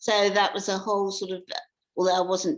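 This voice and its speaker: A woman is speaking. She has an English accent. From England. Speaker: author. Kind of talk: interview. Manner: halting.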